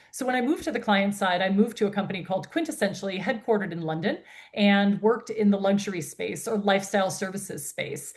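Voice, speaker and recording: A woman with an American accent talks at a very fast pace in a somewhat breathy voice, medium in pitch with ordinary pitch variation. The background is quiet. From United States. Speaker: founder and CEO of a women's health industry network. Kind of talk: interview.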